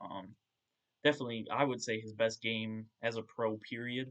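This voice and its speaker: The man's medium-pitched voice has monotone, flat intonation. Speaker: sports podcast host. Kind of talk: solo podcast game recap. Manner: hesitant, many filler words; loud at times.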